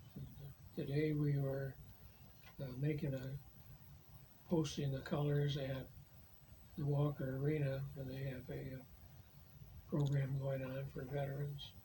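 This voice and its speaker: Soft-spoken and somewhat breathy, a man talks at a fairly slow pace with long, frequent pauses. His fairly high pitch stays monotone and flat, with a dark, mellow tone. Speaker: war veteran. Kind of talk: interview answer.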